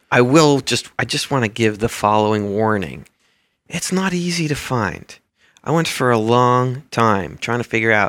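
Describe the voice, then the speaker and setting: Delivered at a moderate pace, an unremarkable speaking voice carries lively intonation. The recording is very clean, with a silent background. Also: man, medium pitch for a man. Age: 40s. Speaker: university administrator. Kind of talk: interview.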